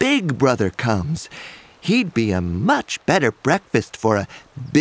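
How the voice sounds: This is a natural reading voice. It is heard reading aloud.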